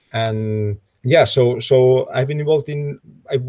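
Recorded dry with no echo over a quiet background, a somewhat breathy man speaks with fairly even intonation. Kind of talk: lecture. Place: home room. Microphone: webcam.

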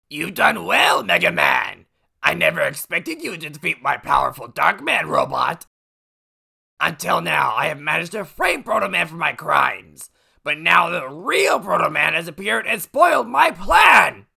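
The speaker uses a raspy, put-on character voice. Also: moderate pace. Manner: villainous, gloating then panicked.

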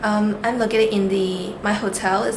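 Noticeable background noise runs behind a woman's voice. She keeps a moderate pace and fairly even intonation. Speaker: travel vlogger. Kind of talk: casual vlog chat. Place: home room. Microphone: phone near.

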